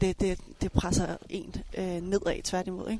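A woman speaks at a medium pitch. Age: 30s. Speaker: coach and elite table tennis player. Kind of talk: casual chat. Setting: outdoors.

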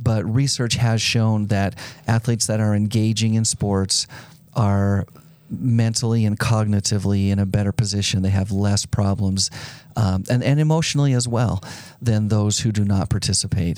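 A man speaks in a plain, everyday voice with a fairly low pitch. His loudness stays very even. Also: fairly even intonation, moderate pace. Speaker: sports event executive. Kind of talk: interview. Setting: studio.

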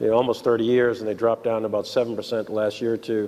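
A man talks with a New York accent. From New York City. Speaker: show staff member. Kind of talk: casual chat. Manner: halting.

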